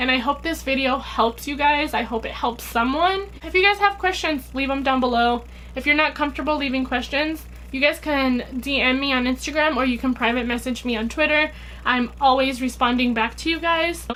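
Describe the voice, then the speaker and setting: The woman's voice is high in pitch, with ordinary pitch variation. She speaks at a fairly quick pace. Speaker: vlogger. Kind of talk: personal vlog talk to camera. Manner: fast.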